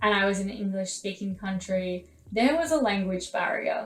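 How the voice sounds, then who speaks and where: A woman speaks at a medium pitch with lively intonation. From Australia. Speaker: vlogger, former drama student. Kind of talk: casual vlog talk to camera.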